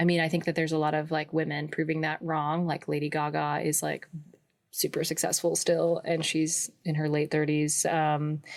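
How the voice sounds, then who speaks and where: A woman's very deep, low voice in a West Coast accent, monotone and flat, at a moderate pace with very even loudness. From Pacific Northwest, suburbs of Portland, Oregon. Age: 20s. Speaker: folk musician. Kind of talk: interview. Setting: home recording in a closet.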